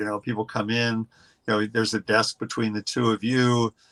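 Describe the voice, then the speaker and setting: Monotone, flat intonation comes from a man with a bright, sharp tone. The sound is dry and close with no echo, on a very clean recording with a silent background. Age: 70s. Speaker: education consultant, former principal. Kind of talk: interview. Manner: halting, many fillers and repeats.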